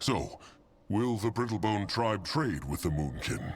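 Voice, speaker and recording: The speaker uses a put-on character voice. Delivery is fairly slow. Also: man, fairly low pitch for a man. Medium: video game. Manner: broken grammar, third person.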